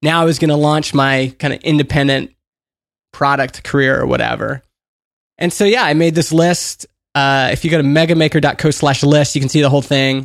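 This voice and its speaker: A man speaks at a fairly quick pace with a fairly high pitch and fairly even intonation. His is an unremarkable speaking voice, with very even loudness. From Canada, Edmonton. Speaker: author and indie entrepreneur. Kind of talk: interview conversation.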